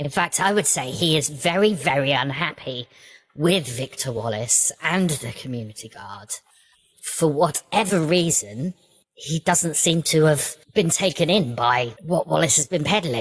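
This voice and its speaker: This put-on character voice sits at a middle pitch and moves at a moderate pace. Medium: actual play. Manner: brisk, matter-of-fact.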